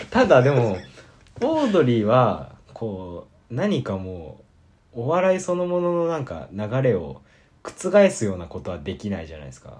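A man speaks at a medium pitch and a moderate pace. His pitch swings very widely and his loudness rises and falls sharply. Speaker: college radio podcast host. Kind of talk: casual chat.

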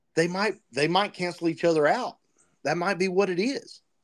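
A man speaks with a high-pitched voice. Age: 40s. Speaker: podcast host. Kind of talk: casual chat.

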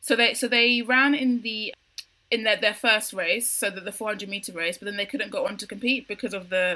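A woman's bright, sharp voice with a London accent, at a fairly quick pace and with ordinary pitch variation. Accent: British (London). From UK. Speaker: podcast co-host. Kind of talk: casual chat.

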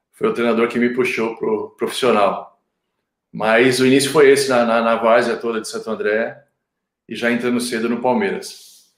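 This is a normal speaking voice. The man speaks at a medium pitch and moderate pace, with ordinary pitch variation. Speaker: retired footballer turned agent. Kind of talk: casual chat.

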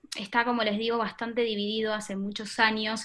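The tone is bright and sharp, in a Buenos Aires accent. The recording is very clean, with a silent background. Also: woman. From Buenos Aires, Argentina. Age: 20s. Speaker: social media influencer. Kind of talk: interview.

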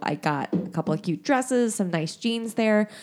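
A woman's plain, everyday voice in an American accent, moderate pace and lively intonation, very clean recording with a silent background. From Indiana. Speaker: podcast co-host. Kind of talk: casual chat.

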